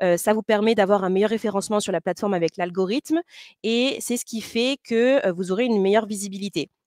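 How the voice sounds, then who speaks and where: At a very fast pace, a woman speaks with a medium pitch and ordinary pitch variation in a dry, close sound with no echo. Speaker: company representative presenting to boat owners. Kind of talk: webinar presentation. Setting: online webinar. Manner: hesitant, many fillers.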